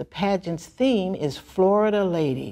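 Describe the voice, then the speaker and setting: A plain, everyday voice moves at a moderate pace over a quiet background. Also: woman. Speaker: pageant co-host. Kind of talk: scripted hosting presentation. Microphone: lapel.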